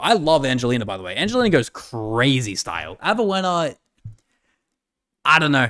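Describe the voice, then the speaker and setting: A bright, sharp voice with an Australian accent moves through very wide pitch swings on a very clean recording with a silent background. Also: man. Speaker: gaming streamer reacting to a video. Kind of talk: casual reaction commentary.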